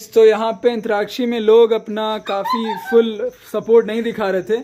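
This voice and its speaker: This man has a high-pitched voice. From Bihar, India. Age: young. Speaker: vlogger. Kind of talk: casual vlog talk to camera.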